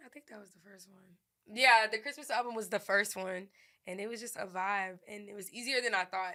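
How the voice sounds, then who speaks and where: A woman's bright, sharp tone at medium pitch, with fairly even intonation and a fairly quick pace. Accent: New Orleans. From New Orleans, Louisiana. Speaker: rapper and songwriter. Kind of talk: interview answer.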